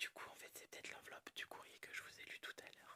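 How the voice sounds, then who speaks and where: A woman is whispering. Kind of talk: ASMR whispered reading and show-and-tell of a collection. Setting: quiet room, dog barking in background. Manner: whispered, soft-spoken.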